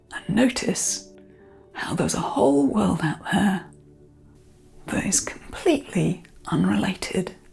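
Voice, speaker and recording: A soft-spoken woman talks at a fairly slow pace with long, frequent pauses in a soothing tone. Music plays in the background. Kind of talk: guided meditation. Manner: soft-spoken, soothing.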